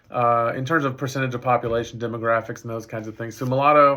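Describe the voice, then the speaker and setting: A man with a Texas accent and a medium-pitched voice. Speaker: professor. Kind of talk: lecture. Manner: halting.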